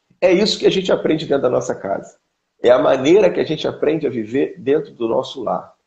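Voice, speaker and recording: A man at a very fast pace with a Carioca accent. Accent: carioca Brazilian Portuguese. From Rio de Janeiro, Brazil. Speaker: pastor. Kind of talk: interview on family teaching.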